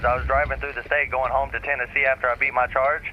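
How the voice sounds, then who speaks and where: With an American accent, a man talks while noticeable background noise fills the recording. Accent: thick Southern accent at times, varies. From US South / Appalachia. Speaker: streamer. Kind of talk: casual chat.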